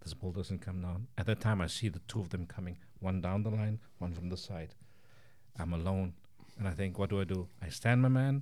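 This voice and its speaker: A man speaks in a very deep, low pitch with ordinary variation. His tone is dark and mellow. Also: fairly quick pace, very clean recording, silent background. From South Africa, Cape Town. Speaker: chef and pie maker. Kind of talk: casual interview.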